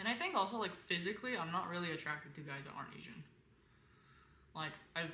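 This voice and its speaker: A woman speaks at a fairly quick pace in a fairly low pitch with a bright, sharp tone and ordinary pitch variation, and the room echo is audible. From Korean background, bilingual. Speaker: content creator. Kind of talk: casual live-stream advice chat. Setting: live stream. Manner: casual, many fillers; colder in English.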